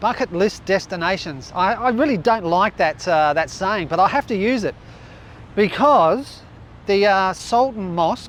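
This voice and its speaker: Lively intonation marks this man's high-pitched voice, delivered at a moderate pace. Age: 60s. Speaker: travel vlogger. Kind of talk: casual vlog narration. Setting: outdoors. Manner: animated.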